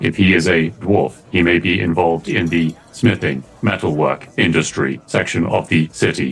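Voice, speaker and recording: A man's put-on character voice, very deep and low in pitch, at a moderate pace with hardly any pauses. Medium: actual play. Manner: precise, formal, literal.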